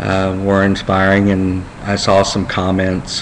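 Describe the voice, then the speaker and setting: Noticeable background noise and audible room echo fill the recording. The man's voice sits fairly low. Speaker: vlogger with brain cancer. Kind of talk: personal video diary. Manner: halting, many fillers.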